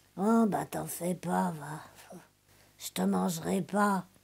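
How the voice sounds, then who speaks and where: A woman talks very slowly in a put-on character voice. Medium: read story. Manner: hesitant, halting.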